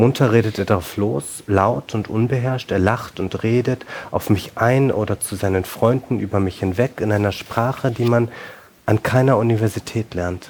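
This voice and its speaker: This man speaks at a moderate tempo. His voice is medium in pitch and varies in an ordinary way. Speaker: novelist. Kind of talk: reading aloud. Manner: halting.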